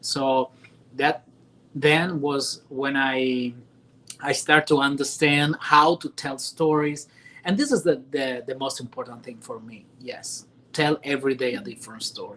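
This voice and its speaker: A man with an Italian accent speaks fairly slowly, his pitch fairly high and his tone bright and sharp. His intonation stays fairly even, but his loudness swings widely. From Italy. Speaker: news anchor. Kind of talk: interview. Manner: halting.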